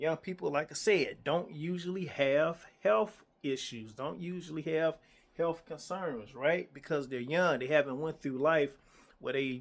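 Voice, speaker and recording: A man's fairly high-pitched, a normal speaking voice at a fairly slow pace, with ordinary pitch variation. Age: 50s. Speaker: insurance agent. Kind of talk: casual talk to camera. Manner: conversational, repetitive.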